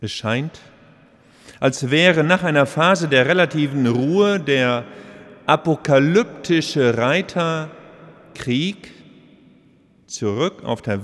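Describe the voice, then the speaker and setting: A man's intonation is lively as he talks at a very slow pace. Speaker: bishop. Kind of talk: sermon. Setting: cathedral service. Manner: earnest, formal.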